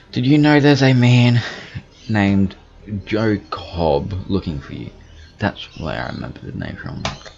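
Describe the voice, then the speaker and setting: Lively intonation and big swings in loudness mark the speech, broken by long, frequent pauses, with music in the background. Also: man, fairly low pitch for a man. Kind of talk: casual let's-play commentary, reading dialogue choices.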